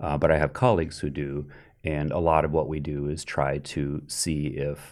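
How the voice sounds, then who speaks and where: On a very clean recording with a silent background, a man speaks at a fairly slow pace in a very deep, low pitch, with monotone, flat intonation and vocal fry. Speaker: economics professor. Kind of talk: interview. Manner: dispassionate, even.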